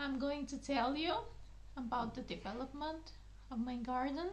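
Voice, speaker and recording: With a Bulgarian accent, a woman speaks in a high voice amid audible room echo. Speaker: gardening channel host. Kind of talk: casual video talk. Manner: halting, many fillers.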